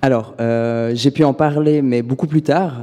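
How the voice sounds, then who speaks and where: A man at medium pitch talks at a moderate pace with ordinary pitch variation. He has an unremarkable speaking voice. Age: 20s. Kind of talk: interview testimony.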